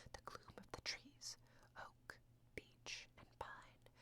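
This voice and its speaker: A woman whispers at a fairly slow pace. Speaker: ASMR audiobook reader. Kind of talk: whispered audiobook reading for sleep. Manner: whispered, soft-spoken.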